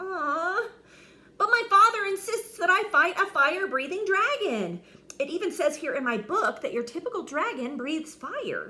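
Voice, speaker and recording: In a put-on character voice, a woman squeaks at an extremely high pitch with very wide pitch swings at a moderate pace. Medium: read story. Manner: nervous, stammering.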